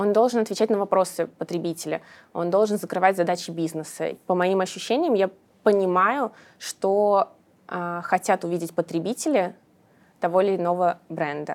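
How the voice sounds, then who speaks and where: Recorded very cleanly with a silent background, a woman at a medium pitch speaks at a moderate pace with ordinary pitch variation and long, frequent pauses. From Russia, Samara. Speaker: digital marketing specialist. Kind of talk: casual interview.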